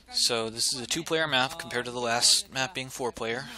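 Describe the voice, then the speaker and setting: A soft-spoken man with fairly even intonation, amid noticeable background noise. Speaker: esports caster. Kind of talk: live commentary. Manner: halting.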